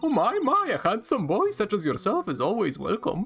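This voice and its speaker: A put-on character voice, fairly high in pitch, at a moderate pace over clear background noise. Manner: warm, doting.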